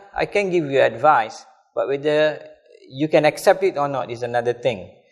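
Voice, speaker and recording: With a Kelantan accent, a man speaks at a moderate pace in a fairly high pitch and lively intonation. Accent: Malay English, Kelantan. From Malaysia, Kelantan. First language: Malay. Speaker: religious teacher. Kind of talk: lecture.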